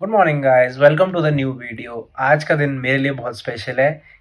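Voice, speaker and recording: A man speaks with ordinary pitch variation at a moderate pace against a quiet background. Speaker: fitness vlogger. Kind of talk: casual vlog chat.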